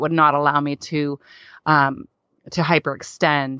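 The speaker is a woman with an American accent. She talks at a moderate speed. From Pittsburgh, Pennsylvania. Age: 40s. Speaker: speaker, author and worship leader. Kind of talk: casual chat.

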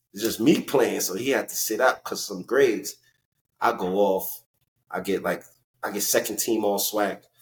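Here a man with a New York accent speaks at a medium pitch and a moderate pace. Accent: New York urban. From New York (Elmont, Long Island / Brooklyn area). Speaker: former professional basketball player. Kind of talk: interview storytelling. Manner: animated.

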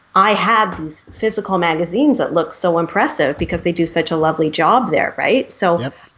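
A woman with an ordinary speaking voice and a Canadian accent talks at a fairly quick pace with hardly any pauses, her fairly low pitch carrying lively intonation. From Canada, Vancouver. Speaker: graphic designer and art director. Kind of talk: casual interview chat.

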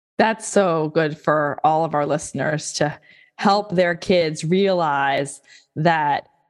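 A woman speaks in a plain, everyday voice with a fairly low pitch. Her pitch varies in an ordinary way. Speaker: podcast host. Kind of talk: interview.

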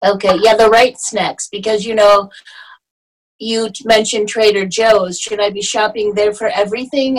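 A woman speaks at a moderate pace in a fairly high voice. Her intonation stays fairly even. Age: 50s. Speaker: salon owner. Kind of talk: casual interview.

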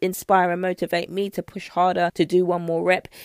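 A woman speaks with a British accent at a fairly quick pace and a fairly low pitch. The sound is dry and close with no echo, in a very clean recording with a silent background. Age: 30s. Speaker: nutrition coach. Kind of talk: solo podcast talk.

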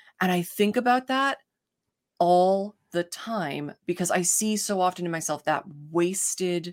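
A woman with a plain, everyday voice, medium pitch, ordinary pitch variation and a fairly slow pace. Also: very clean recording, silent background. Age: 30s. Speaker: podcast guest, host's best friend. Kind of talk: casual chat.

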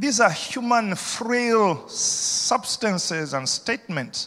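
Bright and sharp in tone, a man speaks with a high pitch. His delivery is animated, with lively intonation. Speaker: senior pastor. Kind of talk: sermon. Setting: church. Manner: animated, rousing pulpit delivery, urging the congregation to shout back; repetitive, emphatic, persuasive.

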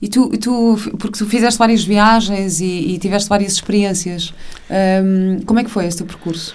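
Medium-pitched female speech at a moderate pace, fairly even in intonation, with audible room echo and noticeable background noise. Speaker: podcast host. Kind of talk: casual interview; scripted introduction. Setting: podcast.

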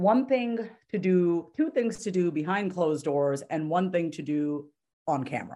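A woman with a New York accent, fairly low-pitched and animated, with lively intonation at a fairly slow pace over a quiet background. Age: 30s. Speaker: therapist and confidence coach. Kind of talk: casual chat.

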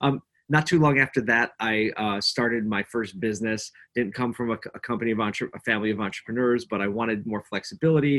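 With a Philadelphia accent, a man speaks at a fairly quick pace and medium pitch with ordinary pitch variation, the sound dry and close with no echo. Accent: Philadelphia American. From Philadelphia, US. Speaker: agency owner, entrepreneur. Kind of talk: casual chat.

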